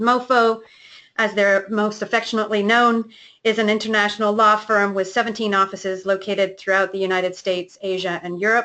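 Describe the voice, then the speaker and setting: A woman with a bright, sharp tone speaks at a fairly quick pace in a monotone, flat intonation. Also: medium pitch for a woman. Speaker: company executive hosting a webinar. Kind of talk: webinar presentation.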